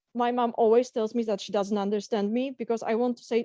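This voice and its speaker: Speaking at a very fast pace, a woman with a fairly high pitch has a dark, mellow tone in a dry, close sound with no echo. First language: Polish. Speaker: career coach. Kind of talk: webinar lecture. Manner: halting.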